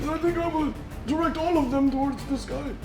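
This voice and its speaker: Over loud music in the background, a man performs a put-on character voice at a fairly quick pace. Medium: actual play. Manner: cranky, rambling.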